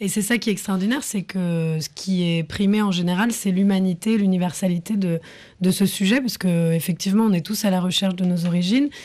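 A woman's voice at medium pitch with a dark, mellow tone, ordinary pitch variation, and a fairly quick pace. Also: quiet background. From France. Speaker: film director and actress. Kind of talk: radio interview. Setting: studio.

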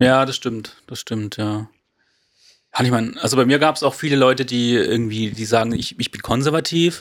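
In a very clean recording with a silent background, a man with an ordinary speaking voice talks at medium pitch and a moderate pace with fairly even intonation. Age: 20s. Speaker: graphic designer, church volunteer. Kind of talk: casual chat.

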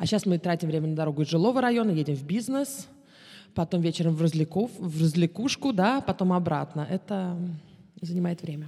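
A woman's fairly low, somewhat breathy voice has a dark, mellow tone, moving at a fairly quick pace with lively intonation. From Moscow, Russia, then Israel from 14. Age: 30s. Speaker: tour guide. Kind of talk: casual interview.

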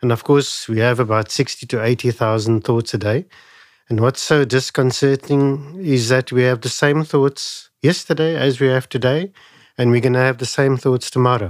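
Moderate pace and ordinary pitch variation on a very clean recording with a silent background. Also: man, medium pitch for a man. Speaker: wellness doctor. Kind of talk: interview. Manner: calm.

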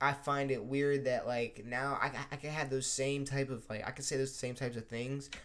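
A man speaks at a moderate pace with a medium pitch, a fairly bright tone, and fairly even intonation.

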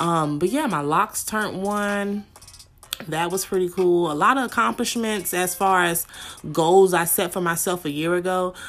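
With music in the background, a woman talks at a medium pitch and a moderate pace, showing ordinary pitch variation. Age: 20s. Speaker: podcast host. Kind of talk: casual chat.

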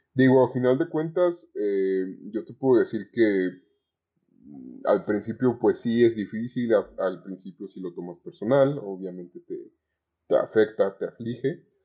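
In a Mexican accent, a man speaks at a fairly slow pace. His intonation is lively, with big swings in loudness. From Zamora, Michoacán, Mexico. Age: 20s. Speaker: communication student, call center agent. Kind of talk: podcast interview. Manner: halting.

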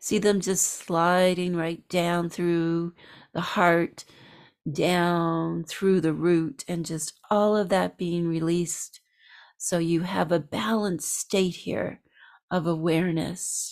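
Speaking at a very slow pace, a woman uses a calm tone and a fairly low pitch with monotone, flat intonation. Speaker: spiritual practitioner leading a meditation. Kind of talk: guided meditation. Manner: slow, soft-spoken, soothing; calm, unhurried, with long pauses.

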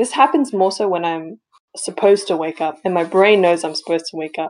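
Her pitch is fairly low, with ordinary variation. This woman speaks at a fairly quick pace. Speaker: podcast co-host. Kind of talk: casual chat.

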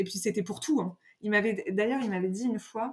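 Her voice sits at a medium pitch, and the woman uses ordinary pitch variation. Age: 30s. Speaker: astrologer. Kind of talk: casual chat. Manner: mannered; halting.

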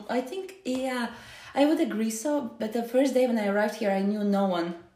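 Lively intonation marks a woman's fairly high voice. Noticeable background noise can be heard. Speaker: podcast host. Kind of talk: casual interview.

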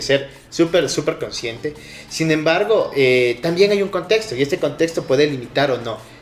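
Over noticeable background noise, a man with a Quito accent talks at a fairly high pitch with ordinary pitch variation. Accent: Ecuadorian highland Spanish (Quito). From Ecuador, southern Quito. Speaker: small business owner. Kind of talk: casual interview chat. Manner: halting, repeats words.

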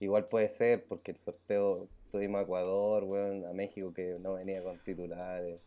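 Here a man speaks at a moderate pace with a fairly low pitch and a dark, mellow tone. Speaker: podcast co-host. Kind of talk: casual chat.

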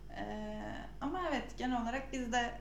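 The recording has noticeable background noise and audible room echo. A woman speaks at a fairly high pitch with ordinary pitch variation. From Samsun, Turkey. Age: 20s. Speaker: podcast host, UX designer. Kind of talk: casual chat.

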